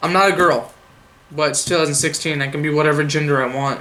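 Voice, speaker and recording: A man's fairly high voice at a fairly quick pace, with audible room echo. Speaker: gaming news youtuber. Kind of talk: casual news roundup vlog. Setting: home camera setup.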